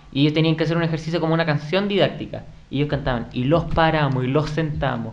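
With fairly even intonation, the speech comes at a very fast pace amid audible room echo and noticeable background noise. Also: man, fairly high pitch for a man. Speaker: podcast host. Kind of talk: casual chat. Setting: home studio.

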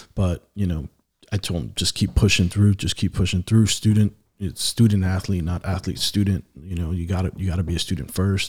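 A man's very deep, low voice, somewhat breathy, with fairly even intonation at a fairly quick pace. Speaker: father of athlete, church leader. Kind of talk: casual podcast interview.

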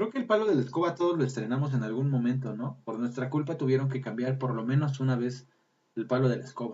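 In a somewhat breathy voice, a man speaks very fast. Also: medium pitch for a man, ordinary pitch variation. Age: 30s. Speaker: podcast host. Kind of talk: casual chat. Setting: live stream.

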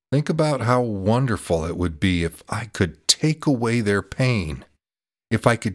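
A man with a medium pitch speaks in a calm, soothing tone at a fairly slow pace, his pitch swinging very widely, in a very clean, dry, close recording with a silent background and no echo. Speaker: meditation podcast host. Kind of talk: guided meditation with slow visualization cues for breathing in suffering. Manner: slow, calm, soothing pacing with deliberate repetitions; gentle, warm instructional tone inviting the listener.

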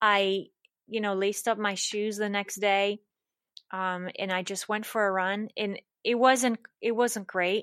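On a very clean recording with a silent background, a woman speaks at a fairly slow pace with monotone, flat intonation. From Switzerland. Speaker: personal trainer and wellness coach. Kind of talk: interview.

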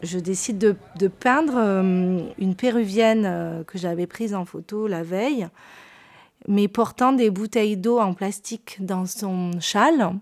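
In a very clean recording with a silent background, a woman at medium pitch speaks very slowly with ordinary pitch variation. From southern France, Perpignan. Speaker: painter. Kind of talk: interview storytelling. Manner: hesitant, with fillers and repetitions.

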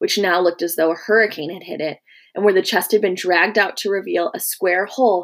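This natural reading voice has ordinary pitch variation.

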